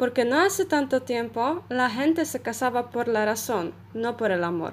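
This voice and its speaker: Her intonation is lively. The woman speaks at a fairly slow pace. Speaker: Spanish language student. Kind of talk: short prepared talk.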